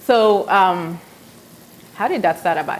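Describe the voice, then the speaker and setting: A woman with a non-native accent speaks at a fairly slow pace with ordinary pitch variation, over noticeable background noise. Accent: foreign. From South Sudan. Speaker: cooking show host. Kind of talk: live cooking demonstration. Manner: casual, hesitant with fillers.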